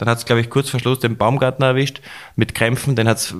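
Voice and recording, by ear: At a fairly quick pace, a man talks at medium pitch with little pitch movement.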